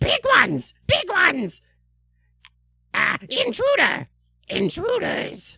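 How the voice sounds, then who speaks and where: A put-on character voice sits at an extremely high pitch. It moves at a very slow pace with long, frequent pauses. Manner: excited, shouting in alarm.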